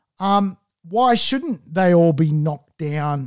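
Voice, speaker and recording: Against a quiet background, a man with an Australian accent speaks fairly slowly at a fairly high pitch. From Australia, Sydney Northern Beaches; New South Wales, Australia. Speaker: property investment podcast host. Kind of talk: solo podcast monologue. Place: studio. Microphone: studio mic.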